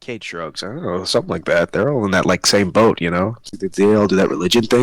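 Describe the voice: The pitch shifts in an ordinary way. It's plain reading aloud.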